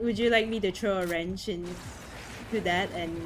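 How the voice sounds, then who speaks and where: Music plays in the background as a woman speaks at a moderate pace with ordinary pitch variation amid audible room echo. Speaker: podcast host and streamer. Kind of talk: casual chat. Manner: loud.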